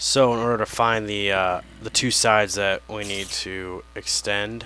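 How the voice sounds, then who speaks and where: The quiet voice moves at a fairly slow pace with monotone, flat intonation. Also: man, fairly low pitch for a man. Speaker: gaming video creator. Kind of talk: let's play commentary. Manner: quiet, low voice; casual, meandering.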